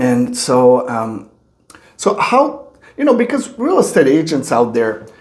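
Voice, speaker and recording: A man in a French Canadian accent speaks at a fairly slow pace, with audible room echo around him. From Quebec. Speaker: podcast host. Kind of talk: interview.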